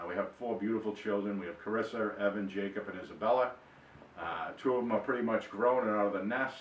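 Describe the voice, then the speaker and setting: Talking very fast with fairly even intonation, a man has a Boston accent and fairly low pitch. The room echo is audible. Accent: Boston-area. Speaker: author. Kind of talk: personal introduction monologue. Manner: hesitant, many fillers and repeats.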